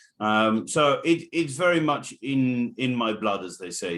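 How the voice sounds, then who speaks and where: This is a man speaking with an English accent. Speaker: racehorse trainer. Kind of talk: interview.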